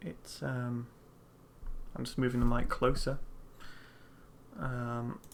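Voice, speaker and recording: A soft-spoken voice talks at a very slow pace, with long, frequent pauses. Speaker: 3D artist streaming his work. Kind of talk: live stream tutorial-style commentary. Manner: halting, many fillers. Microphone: USB condenser mic, too quiet, close to keyboard.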